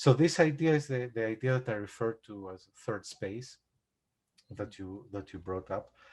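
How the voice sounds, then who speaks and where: On a very clean recording with a silent background, a somewhat breathy voice with a Greek accent speaks at a moderate pace. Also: man. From Greece. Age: 40s. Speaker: composer. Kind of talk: casual chat. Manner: halting.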